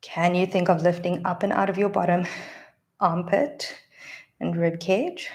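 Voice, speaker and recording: A woman speaks at a medium pitch and a fairly slow pace, somewhat breathy, with ordinary pitch variation. Her pauses are long and frequent. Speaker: pilates instructor. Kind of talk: guided workout instruction. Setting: live stream. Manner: encouraging, instructive.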